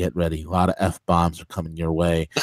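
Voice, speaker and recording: A man speaks quietly in a very deep, low voice. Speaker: radio show host. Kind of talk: casual chat. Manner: quiet, close to the mic.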